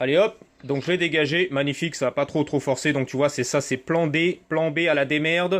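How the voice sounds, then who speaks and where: The man's voice sits fairly high in pitch, with fairly even intonation. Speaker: moped parts seller and tuner. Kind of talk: casual workshop vlog. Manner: fast.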